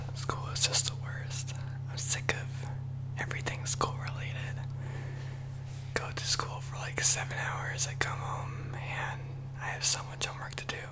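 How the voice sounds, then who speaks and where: A soft-spoken man whispering in a weary tone at a moderate pace, with long, frequent pauses and loud background noise. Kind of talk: casual monologue, role-play. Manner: soft weary ASMR whisper. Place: home room. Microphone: studio mic.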